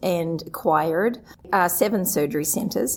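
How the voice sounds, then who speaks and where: Someone with a New Zealand accent speaks at a fairly slow pace with lively intonation. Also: woman. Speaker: surgery center administrator, association executive director. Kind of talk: interview. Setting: live at a conference.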